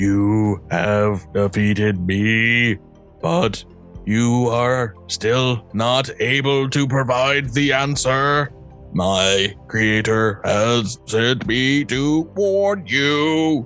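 A man's put-on character voice at a medium pitch, very slow, with clear music in the background. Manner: ominous, warning.

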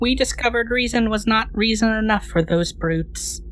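A put-on character voice at a moderate pace over clear background noise. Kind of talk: pompous faux-archaic speech. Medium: actual play. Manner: formal, archaic, philosophical.

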